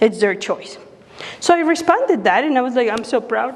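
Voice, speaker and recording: High-pitched woman with a Spanish accent, moderate pace and ordinary pitch variation, over noticeable background noise. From Mexico City, Mexico. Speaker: pro-life speaker, former clinic worker. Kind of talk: public talk.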